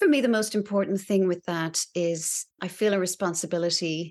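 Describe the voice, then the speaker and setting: A woman's medium-pitched voice with ordinary pitch variation, an unremarkable speaking voice over a quiet background. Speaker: actor. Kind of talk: casual interview.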